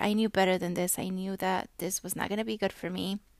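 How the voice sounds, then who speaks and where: A woman speaks at medium pitch. The recording is very clean, with a silent background. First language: not English. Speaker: podcast host. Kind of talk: solo monologue. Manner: casual, halting with fillers.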